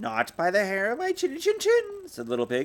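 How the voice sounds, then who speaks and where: This put-on character voice is bellowing. It moves at a moderate pace. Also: man. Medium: read story. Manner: roaring, blustering.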